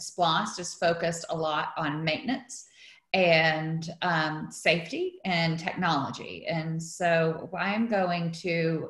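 A woman speaks at a very slow pace with a fairly low pitch, her voice carrying audible room echo over a quiet background. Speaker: event host. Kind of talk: meeting introduction. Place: home room. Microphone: video call.

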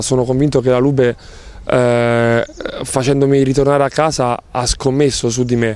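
A man speaks at a medium pitch and a moderate pace. His intonation is fairly even, and the sound is dry with no echo. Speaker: professional volleyball player. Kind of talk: interview. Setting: on camera. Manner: halting. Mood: calm, thoughtful. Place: garden. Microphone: handheld.

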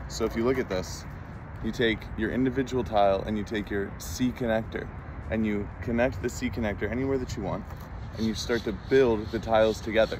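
A man at a fairly quick pace with ordinary pitch variation, in a dry sound with no echo and noticeable background noise. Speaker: product demonstrator. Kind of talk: casual product demo. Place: open country. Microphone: phone near.

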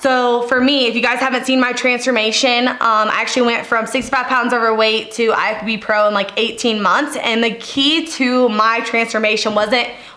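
A woman's flat, monotone delivery at a moderate pace, very even in loudness, with hardly any pauses. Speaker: fitness coach vlogger. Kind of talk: casual vlog Q&A advice. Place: home room.

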